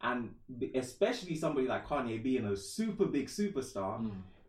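This man's voice sits at a medium pitch, somewhat breathy, with lively intonation. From Trinidad, moved to England at 11. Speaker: musician and rapper. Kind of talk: casual chat.

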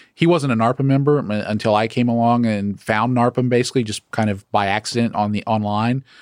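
A man with an American accent talks at a fairly quick pace and medium pitch, his intonation fairly even, on a very clean recording with a silent background. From US South, Atlanta area, Georgia. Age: 30s. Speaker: property management company CEO, former pilot. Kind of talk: interview. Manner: hesitant, many fillers.

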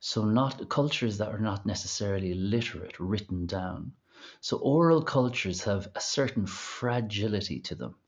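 At a moderate pace, a man with an Irish accent talks in a fairly low pitch with ordinary pitch variation. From Ireland. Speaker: singer. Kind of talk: interview conversation.

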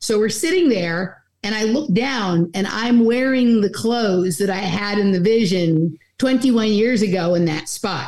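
A woman with a normal speaking voice, fairly high in pitch, talks at a fairly slow pace. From Los Angeles. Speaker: podcaster and researcher. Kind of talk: casual chat.

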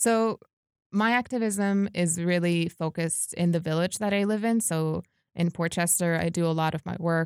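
A woman in a New York accent, fairly low in pitch, moderate in pace and fairly even in intonation, dry and close with no echo on a very clean recording with a silent background. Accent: American, New York area. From New York, US (Westchester). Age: 20s. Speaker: activist. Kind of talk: casual interview.

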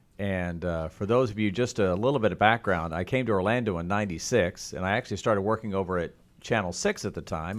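Recorded very cleanly against a silent background, a man with an American accent and an unremarkable speaking voice talks at a fairly quick pace, fairly low in pitch with ordinary pitch variation. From Oklahoma. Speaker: TV meteorologist. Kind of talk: interview. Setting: studio.

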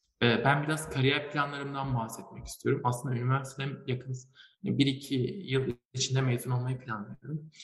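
With vocal fry, a man of medium pitch speaks at a moderate pace with ordinary pitch variation. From Turkey, Malatya. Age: young. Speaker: chemical engineering student and young inventor. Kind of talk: interview. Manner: hesitant, many fillers.

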